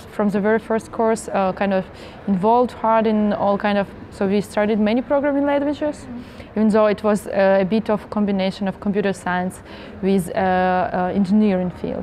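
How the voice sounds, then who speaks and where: A woman at a fairly quick pace with ordinary pitch variation, light background noise behind her. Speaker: interviewee. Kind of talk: interview answer. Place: hall.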